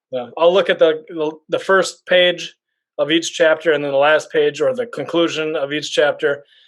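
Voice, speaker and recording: Here a man speaks in a fairly high pitch with fairly even intonation at a moderate pace. The recording is very clean and the background silent. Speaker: bookstagrammer. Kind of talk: casual chat. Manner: mumbling.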